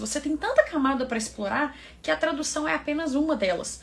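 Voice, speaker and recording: A woman talks at a fairly quick pace while noticeable background noise plays behind her. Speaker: English teacher, environmental engineer. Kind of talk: online tutorial. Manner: casual, conversational.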